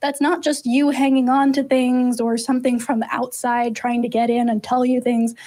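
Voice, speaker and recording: A woman speaks at a moderate pace with a high pitch and a dark, mellow tone. The background is quiet. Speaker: co-host of call-in show. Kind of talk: explanatory answer to a caller. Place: studio. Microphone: studio mic.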